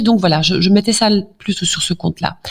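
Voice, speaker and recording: A somewhat breathy woman's voice at a medium pitch and a moderate pace. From Flanders, Belgium. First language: Dutch (speaking French). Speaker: doctor. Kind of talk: interview. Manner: hesitant, many fillers.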